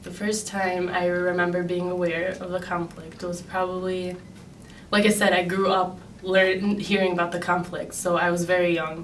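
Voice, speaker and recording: With a Chicago accent, a woman at a medium pitch speaks at a moderate pace with monotone, flat intonation, amid audible room echo and noticeable background noise. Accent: Chicago American. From US Midwest, Chicago. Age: 20s. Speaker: graduate student. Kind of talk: interview. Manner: hesitant, many um fillers.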